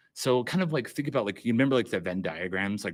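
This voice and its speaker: A man's voice with lively, varied intonation. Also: very clean recording, silent background. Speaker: workshop instructor. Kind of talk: workshop lecture. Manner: fast; halting, many fillers.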